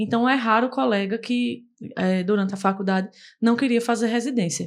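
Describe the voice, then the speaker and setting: A woman with a normal speaking voice, fairly high pitch, ordinary pitch variation and a fairly quick pace, over a quiet background. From Brazil, Paraíba (Campina Grande). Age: 20s. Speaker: dermatology resident doctor. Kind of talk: podcast interview.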